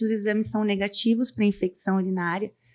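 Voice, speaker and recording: On a very clean recording with a silent background, a woman talks at a moderate pace with monotone, flat intonation. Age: 40s. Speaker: gynecologist. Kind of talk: medical interview, explaining. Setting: studio.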